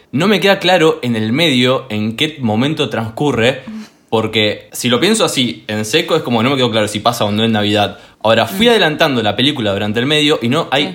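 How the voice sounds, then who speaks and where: A man's medium-pitched, normal speaking voice with lively intonation and a fairly quick pace. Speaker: podcast guest. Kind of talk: casual chat.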